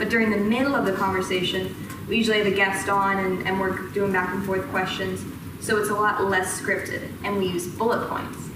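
With audible room echo and noticeable background noise, a woman speaks at a fairly quick pace. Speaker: presenter. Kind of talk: lecture. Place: classroom. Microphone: camera far.

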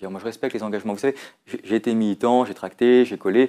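Recorded very cleanly with a silent background, a man talks at a very fast pace in a fairly low voice. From France, Lyon. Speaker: parliamentary candidate. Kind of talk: political interview. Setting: studio. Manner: animated.

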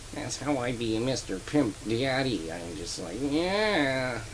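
Over clear background noise, a man in a put-on character voice speaks at a very slow pace in a medium pitch. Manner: exaggerated, deadpan reporter delivery.

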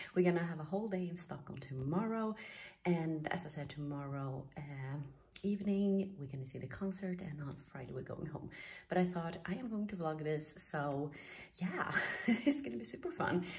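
A woman speaks at a moderate pace in a fairly low pitch. She sounds somewhat breathy, with lively intonation. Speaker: vlogger. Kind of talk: casual vlog chat. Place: home room. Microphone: phone near.

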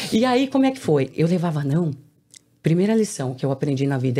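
At a fairly quick pace, a woman speaks with a dark, mellow tone and a very deep, low pitch. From Brazil, São Paulo. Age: 40s. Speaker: entrepreneur and author; podcast guest. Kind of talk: interview. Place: studio. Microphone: studio mic.

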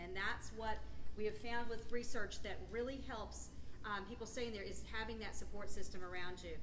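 Noticeable background noise behind a woman's voice. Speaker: clinic representative and meeting moderator. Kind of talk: moderating a live support group meeting. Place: meeting room. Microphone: camera far.

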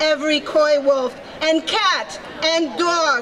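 A woman speaks at a high pitch. There is light background noise. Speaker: emcee and poem reader. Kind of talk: poem reading at rally. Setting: outdoor rally stage. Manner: solemn, dramatic, measured. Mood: earnest, warning tone. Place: street. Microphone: podium.

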